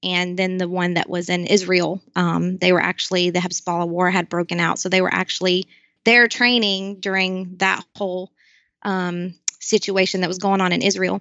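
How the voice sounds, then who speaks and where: Speaking in a Southern US accent, a woman keeps a moderate pace and medium pitch with monotone, flat intonation. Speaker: nonprofit founder, military spouse. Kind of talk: interview. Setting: video call.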